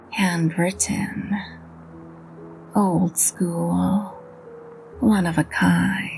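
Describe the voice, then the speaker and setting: With music in the background, a woman drawls in a put-on character voice. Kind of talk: hard-boiled voice-over. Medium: read story. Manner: drawling, dry, deadpan.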